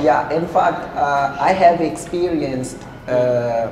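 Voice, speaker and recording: The speech moves very slowly, with audible room echo and light background noise. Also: man. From Angola. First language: Portuguese. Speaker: podcast co-host. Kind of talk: casual chat. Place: cafe. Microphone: lapel.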